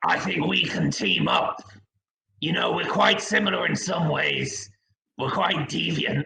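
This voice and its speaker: Putting on a character voice, a man talks in a raspy, fairly high pitch at a fairly slow pace. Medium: stage play. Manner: blustering, calls people brother.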